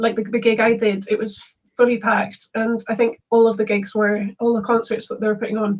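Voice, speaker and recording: A woman speaks in a fairly high, somewhat breathy voice. Her intonation is a flat monotone. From Scotland, Isle of Lewis. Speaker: folk musician. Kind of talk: interview conversation.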